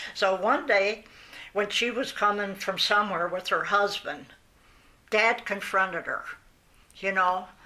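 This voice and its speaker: A woman with an American accent speaks at a fairly slow pace, leaving long, frequent pauses. Her tone is bright and sharp, and her pitch varies in an ordinary way. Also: medium pitch for a woman. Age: 80s+. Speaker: oral history interviewee. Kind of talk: oral history interview. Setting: at home. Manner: halting.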